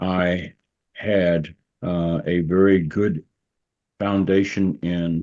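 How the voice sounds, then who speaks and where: Against a quiet background, a man with an Arkansas accent talks at a very deep, low pitch. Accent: Southern US (Arkansas). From US South, rural southwest Arkansas. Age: 70s. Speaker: pastor and retired judge. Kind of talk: interview.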